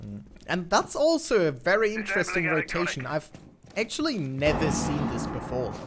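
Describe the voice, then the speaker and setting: The speech holds a moderate pace, with noticeable background noise present. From Germany. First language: German. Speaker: esports co-caster. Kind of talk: live commentary. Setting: online voice chat.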